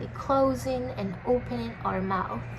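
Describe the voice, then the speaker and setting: A woman's very slow speech amid audible room echo and noticeable background noise. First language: not English. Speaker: video blogger sharing health experience. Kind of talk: personal storytime monologue. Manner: halting, many fillers.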